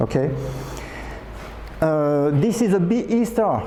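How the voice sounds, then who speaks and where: A man speaks in a space with audible echo while noticeable noise carries on behind him. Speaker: amateur astronomy speaker. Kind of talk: conference talk. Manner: fast; hesitant, many fillers.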